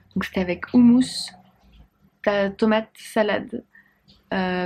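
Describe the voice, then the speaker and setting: Very slow and broken by long, frequent pauses, a woman's somewhat breathy voice stays at a medium pitch with monotone, flat intonation. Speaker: dietitian and vlogger. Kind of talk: casual vlog. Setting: friend's home while traveling.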